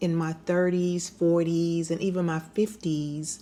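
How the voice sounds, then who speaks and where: With a dark, mellow tone, a woman speaks slowly in a fairly low pitch. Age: 60s. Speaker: lifestyle vlogger. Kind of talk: casual monologue. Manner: conversational.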